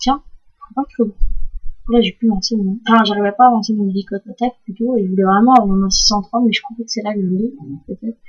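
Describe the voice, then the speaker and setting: A woman speaks fairly quickly at a fairly high pitch, her intonation fairly even. Her loudness swings a lot. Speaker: gaming YouTuber. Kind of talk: gameplay commentary. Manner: hesitant, many fillers; loud breathing audible.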